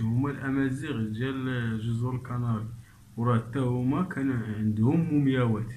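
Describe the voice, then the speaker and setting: In a Moroccan accent, a man speaks at a medium pitch. His pace is fairly slow and his intonation fairly even. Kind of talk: casual commentary on a documentary clip.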